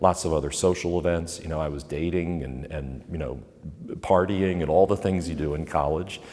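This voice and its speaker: This man has a very deep, low pitch and a dark, mellow tone with vocal fry. He speaks with an American accent. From Pennsylvania, US. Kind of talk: interview. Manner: hesitant with fillers and repetitions.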